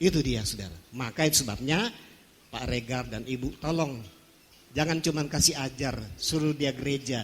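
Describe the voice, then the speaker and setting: There is vocal fry in this man's voice. He speaks at a moderate pace. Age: 60s. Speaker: pastor. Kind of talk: sermon. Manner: animated.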